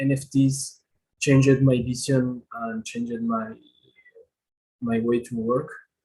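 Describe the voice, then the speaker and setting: A man talks very slowly at a medium pitch, with long, frequent pauses. Music is in the background. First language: not English. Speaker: multimedia artist. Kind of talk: panel discussion on video call. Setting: video call. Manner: halting.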